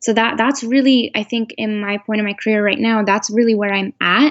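A woman with an American accent and a normal speaking voice talks at a fairly quick pace, her fairly high pitch held in fairly even intonation. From United States. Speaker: doctoral student in counseling psychology. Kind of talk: interview.

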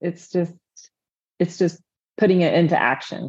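A woman with an American accent speaks at a fairly low pitch and a moderate pace. Her tone is dark and mellow, with vocal fry. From Indiana, US Midwest. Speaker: registered dietitian. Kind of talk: interview conversation.

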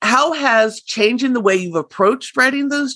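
The sound is dry and close, with no echo. The pitch swings very widely. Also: woman. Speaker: podcast host. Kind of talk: casual interview.

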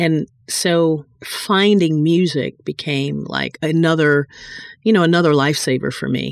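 Very deep and low in pitch, a woman speaks fairly slowly with fairly even intonation. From North Carolina, Gastonia. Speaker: publishing executive and trained singer. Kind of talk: interview.

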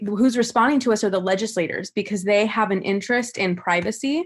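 A woman's normal speaking voice with an American accent, fairly high in pitch, at a fairly quick pace with ordinary pitch variation. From California. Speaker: law graduate and activist. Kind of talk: panel discussion.

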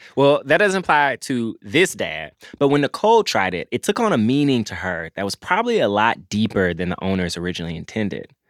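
A man at medium pitch with a Southern US accent, very wide pitch swings, a fairly quick pace, and a dry, close sound with no echo. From US South. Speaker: podcast co-host. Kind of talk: casual chat. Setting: in a shop.

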